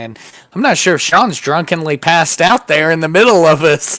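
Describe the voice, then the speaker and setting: A man talks at a moderate rate in an American accent, noticeable background noise behind him. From United States. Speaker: podcast co-host and military veteran. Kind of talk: casual political chat.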